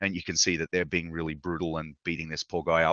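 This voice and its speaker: Words come very fast from a man with an Australian accent. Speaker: video game lighting artist. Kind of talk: lecture. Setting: live online session.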